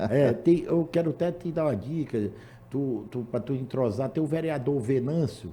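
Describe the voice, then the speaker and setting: Somewhat breathy, this man's voice has a dark, mellow tone and a fairly high pitch, moving at a moderate pace with ordinary pitch variation. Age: 70s. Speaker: public agency director, former politician. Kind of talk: casual chat.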